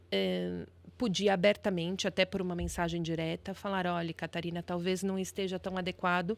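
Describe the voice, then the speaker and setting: The recording is very clean with a silent background. A woman speaks at a fairly low pitch and moderate pace in a monotone, flat intonation. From Brazil, São Paulo. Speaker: lawyer. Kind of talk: podcast interview.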